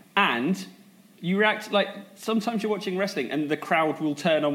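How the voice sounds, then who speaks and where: At a moderate pace, a man speaks with lively intonation and a southern English accent. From Sussex, England.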